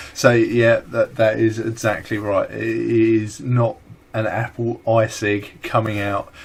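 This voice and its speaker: In a strong British accent, a man talks at a very slow pace. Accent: thick British. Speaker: vaping vlogger. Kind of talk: casual chat.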